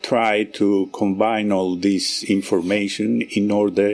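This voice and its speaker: A man with a Greek accent, at a very slow pace. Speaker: research scientist. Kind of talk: radio interview. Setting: live broadcast at research centre. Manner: halting.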